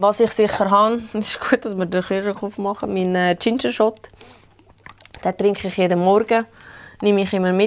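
In a Swiss accent, a woman speaks at a moderate pace and medium pitch with fairly even intonation and long, frequent pauses. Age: 30s. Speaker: rheumatism patient. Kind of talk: casual chat.

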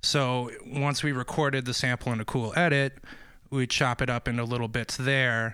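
Speaking at a moderate pace in a monotone, flat intonation, a man with a medium pitch and a bright, sharp tone is captured on a very clean recording with a silent background. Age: 30s. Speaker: DJ and beat producer. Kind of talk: casual interview.

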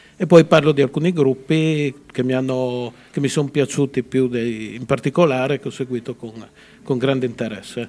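An unremarkable speaking voice from a man at medium pitch, moderate in pace, fairly even in intonation, with big swings in loudness. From Friuli, Italy (Udine). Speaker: author. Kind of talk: interview.

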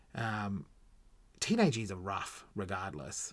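A very clean recording with a silent background, spoken with an Australian accent. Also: man. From Australia, Gold Coast. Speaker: podcast host. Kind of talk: personal storytelling monologue. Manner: casual, halting with fillers.

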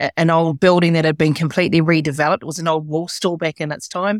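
With a New Zealand accent, the voice holds a monotone, flat intonation, the sound dry and close with no echo on a very clean recording with a silent background. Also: woman. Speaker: business leader and educator. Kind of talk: interview conversation. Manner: halting.

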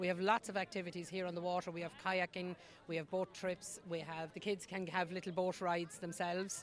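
A woman speaks at a fairly low pitch. Her intonation is monotone and flat. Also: fairly quick pace. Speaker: festival volunteer. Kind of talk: casual interview chat. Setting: outdoors at festival.

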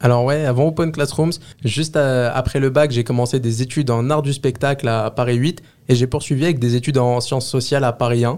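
A man speaks at a medium pitch in an ordinary speaking voice. His intonation is fairly even and his loudness very even. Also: fairly quick pace. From Les Lilas, Seine-Saint-Denis, France. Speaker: work-study student, community manager. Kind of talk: interview. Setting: studio.

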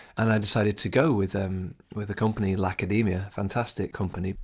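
A man with a British accent speaks in a fairly low, somewhat breathy voice and an enthusiastic tone. The recording is very clean, with a silent background. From England. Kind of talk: solo podcast monologue. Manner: fast talker; personal, enthusiastic.

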